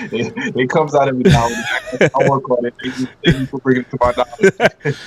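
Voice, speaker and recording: A man talks at a very fast pace with a dry, close sound and no echo, though noticeable background noise is present. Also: medium pitch for a man, ordinary pitch variation. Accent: slight Trinidadian. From Brooklyn, New York, Trinidadian parents. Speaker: former pro wrestler. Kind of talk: interview.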